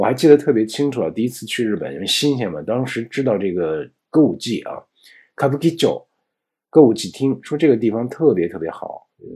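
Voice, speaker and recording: On a very clean recording with a silent background, a man with a dark, mellow, medium-pitched voice and vocal fry speaks at a fairly quick pace, with very wide pitch swings, big swings in loudness, and long, frequent pauses. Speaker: Japanese language teacher. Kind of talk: lecture.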